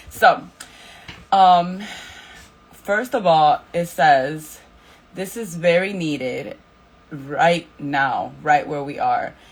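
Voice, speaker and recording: Lively intonation breaks up long, frequent pauses over noticeable background noise. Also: woman, fairly low pitch for a woman. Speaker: Bible study leader. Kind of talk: Bible study talk. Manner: casual, filler words.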